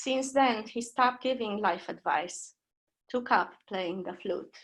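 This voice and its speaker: Speaking very slowly in a Romanian accent, a woman has a fairly high pitch and ordinary pitch variation against a quiet background. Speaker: poet. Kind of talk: poetry reading. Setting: video call.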